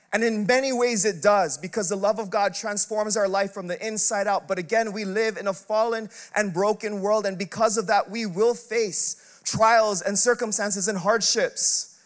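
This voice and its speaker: A man speaks loudly at a moderate pace, his pitch high. His intonation stays fairly even. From Filipino heritage. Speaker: pastor. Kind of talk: sermon. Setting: church.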